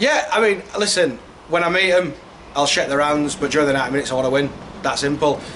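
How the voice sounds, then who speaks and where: A man with a Yorkshire accent talks very fast in a fairly high voice at very even loudness. Noticeable background noise and audible room echo fill the recording. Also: ordinary pitch variation. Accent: Yorkshire (Hull). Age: young. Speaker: football manager. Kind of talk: interview.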